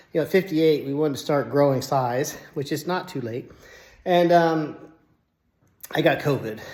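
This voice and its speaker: A man's fairly high voice with ordinary pitch variation and long, frequent pauses. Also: moderate pace. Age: 60s. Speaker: fitness channel host, engineer and cancer survivor. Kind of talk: personal story monologue to camera. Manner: casual, with fillers.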